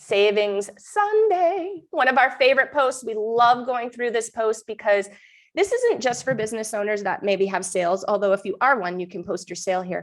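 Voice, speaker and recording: This woman talks at a moderate pace with ordinary pitch variation, in a New Hampshire accent. The background is quiet. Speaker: mom group host and real estate agent. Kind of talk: live stream update. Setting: live stream. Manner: casual, chatty.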